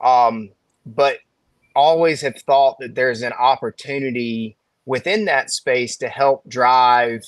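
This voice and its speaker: A man speaks at a very slow pace with a Southern US accent, his pitch medium and its variation ordinary. The sound is dry and close, with no echo. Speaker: financial advisor. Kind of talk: casual chat.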